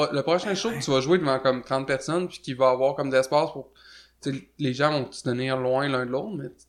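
At a fairly quick pace, a man talks in a normal speaking voice with medium pitch and ordinary pitch variation. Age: 20s. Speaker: musician. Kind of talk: casual chat.

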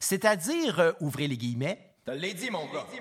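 Speaking at a moderate pace, a man has a high pitch and a Quebec accent. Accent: Québécois French. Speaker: podcast host, musician. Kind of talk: scripted narration.

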